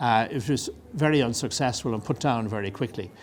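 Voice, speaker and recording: A man with an Irish accent talks at a fairly quick pace. His pitch varies in an ordinary way. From Ireland. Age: 70s. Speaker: retired army officer. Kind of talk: lecture. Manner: halting.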